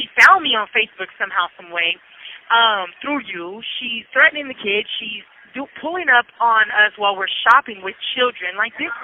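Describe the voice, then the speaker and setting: A woman with an American accent speaks at a fairly high pitch, with lively intonation and big swings in loudness, over noticeable background noise. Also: moderate pace. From Southern California, San Bernardino. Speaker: prison inmate. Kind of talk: testimony. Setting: phone call. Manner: animated.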